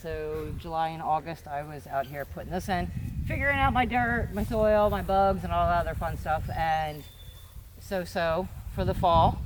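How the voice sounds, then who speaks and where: A woman speaks with a fairly low pitch and lively intonation, and the room echo is audible. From Pennsylvania. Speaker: farmer and gardener. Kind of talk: casual farm tour.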